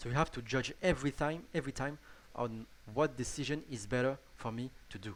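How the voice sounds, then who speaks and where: This man talks at a fairly quick pace with a strong French accent. His pitch sits in the middle range and moves in an ordinary way. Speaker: gaming YouTuber. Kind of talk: tutorial. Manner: halting, many restarts and fillers.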